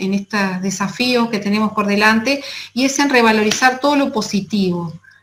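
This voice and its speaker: A woman with a Uruguayan accent, fairly high-pitched and fairly quick, with ordinary pitch variation, amid noticeable background noise and audible room echo. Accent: Rioplatense Spanish (Uruguayan). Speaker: nutritionist. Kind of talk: conference talk.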